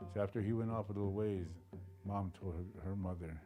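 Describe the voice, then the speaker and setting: With music in the background, a man speaks at a fairly quick pace in a very deep, low pitch and fairly even intonation. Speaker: oral historian, family storyteller. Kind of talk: oral history telling to camera.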